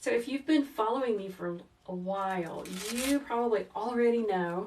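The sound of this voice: With audible room echo, a woman speaks at a fairly slow pace and medium pitch in a calm, gentle, slightly mellow tone with ordinary pitch variation.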